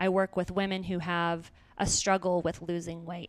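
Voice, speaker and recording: A woman with an American accent speaks at a fairly slow pace in a medium pitch. It is an ordinary speaking voice in a very clean recording with a silent background. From small-town Idaho. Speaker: self-mastery coach and podcast host. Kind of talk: casual interview chat.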